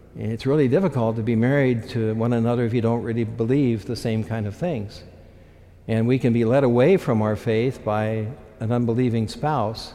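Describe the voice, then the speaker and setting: His dark, mellow tone carries fairly even intonation as the man speaks. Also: medium pitch for a man, moderate pace. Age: 70s. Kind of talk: sermon. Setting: church.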